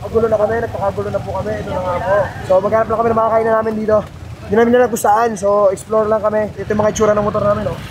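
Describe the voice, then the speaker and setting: Over noticeable background noise, a man talks very fast in a high, flat, monotone voice. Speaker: vlogger. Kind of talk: travel vlog, casual chat.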